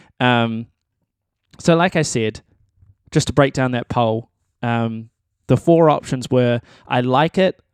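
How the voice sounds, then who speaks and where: Speaking at a fairly slow pace, a man keeps a medium pitch with ordinary pitch variation. The recording is very clean with a silent background, and the sound is dry and close with no echo. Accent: New Zealand. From New Zealand. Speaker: musician and podcast host. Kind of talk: solo monologue podcast. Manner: casual, hesitant with many ums and repeats.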